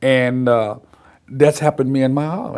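A man with an American accent at a medium pitch and fairly slow pace, against a quiet background. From Virginia, US South (Petersburg); Virginia. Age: 60s. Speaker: war veteran. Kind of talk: oral history interview. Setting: video recorded interview in Petersburg, Virginia. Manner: halting. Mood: reflective, at times smiling.

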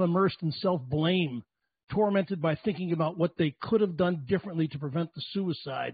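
At a fairly quick pace, a man speaks at a high pitch, the sound dry with no echo and the background quiet. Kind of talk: speech to a remote event. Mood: somber, earnest. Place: home room. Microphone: handheld.

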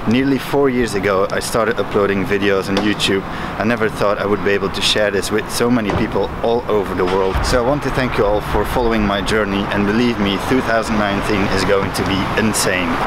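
A man speaks at a fairly quick pace with hardly any pauses, in a dry sound with no echo over loud background noise. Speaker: channel host. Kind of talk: casual vlog chat. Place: street. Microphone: phone near.

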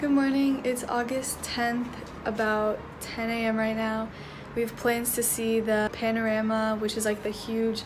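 At a fairly slow pace, a woman talks in a flat monotone with very even loudness over noticeable background noise. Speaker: travel vlogger. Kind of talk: casual vlog chat. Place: home room. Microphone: phone near.

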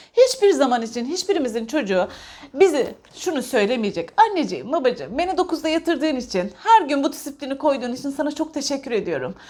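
A woman talks at a fairly quick pace with hardly any pauses, her high pitch swinging very widely. Her tone is dark and mellow. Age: 40s. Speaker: parenting vlogger, parent. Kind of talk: casual monologue, book discussion. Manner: halting, many filler sounds.

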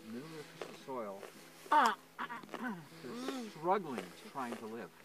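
Over loud background noise, a man speaks at a fairly slow pace, the sound dry with no echo. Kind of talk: informal explanation to visitors. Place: garden. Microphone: phone near.

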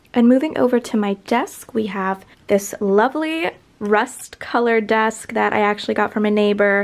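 At a fairly slow pace, a woman talks in an upbeat tone at a medium pitch. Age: 20s. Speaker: lifestyle vlogger; college student vlogger. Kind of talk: room tour video. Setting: her bedroom. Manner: casual, upbeat. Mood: relaxed, friendly. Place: home room. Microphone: phone near.

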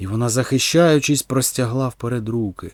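The clip is reading aloud in a natural voice with ordinary pitch variation.

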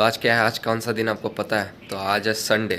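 A man with a fairly low pitch and bright, sharp tone, at a moderate pace with little pitch movement.

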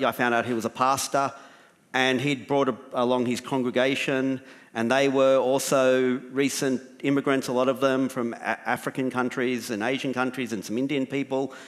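In a flat monotone, a man talks at a moderate pace over a quiet background. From Australia. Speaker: writer and documentary maker; panelist. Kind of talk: panel discussion. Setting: stage with audience. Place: stage. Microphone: headset.

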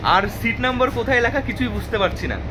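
The pitch varies in an ordinary way. Noticeable background noise can be heard. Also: man. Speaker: travel vlogger. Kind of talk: casual vlog chat. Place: train. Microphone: phone near.

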